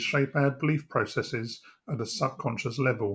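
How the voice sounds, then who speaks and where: This man talks at a moderate pace in a fairly high, somewhat breathy voice. The recording is very clean, with a silent background. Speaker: hypnotherapist. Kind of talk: guided hypnosis meditation; guided relaxation script read to listener.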